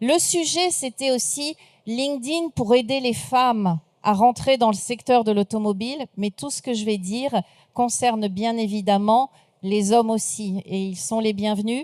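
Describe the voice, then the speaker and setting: Her plain, everyday voice sits fairly high in pitch and moves with lively intonation at a fairly slow pace. The sound is dry and close, with no echo, and the speaker is a woman. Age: 60s. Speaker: speaker and trainer, former recruiter. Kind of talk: conference talk.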